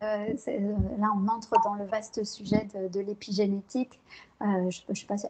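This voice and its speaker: A soft-spoken woman's monotone, flat delivery at medium pitch and a fairly slow pace. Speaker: psychologist and neuroscience researcher. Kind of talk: interview. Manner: hesitant, many fillers.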